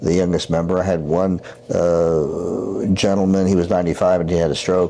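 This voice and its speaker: Noticeable background noise sits under the voice. A man speaks with a very deep, low pitch. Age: 70s. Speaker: surgeon, regenerative medicine doctor. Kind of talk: interview. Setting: Chicago, Illinois. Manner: halting, many repetitions and fillers.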